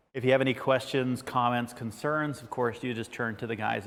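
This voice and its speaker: Vocal fry runs through this man's delivery. He speaks at a very fast pace with fairly even intonation. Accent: American. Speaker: ladder safety workshop presenter. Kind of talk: online workshop presentation. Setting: studio.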